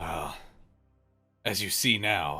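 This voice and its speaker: Using a put-on character voice, the man sounds raspy. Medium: actual play. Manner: rough dialect, plainspoken.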